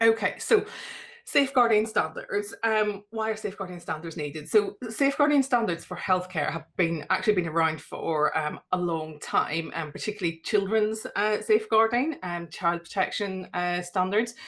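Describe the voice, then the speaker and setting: A woman talks at a moderate pace and a medium pitch. Her intonation is lively. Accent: Northern Irish. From Northern Ireland. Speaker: GP and safeguarding policy lead. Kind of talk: webinar presentation.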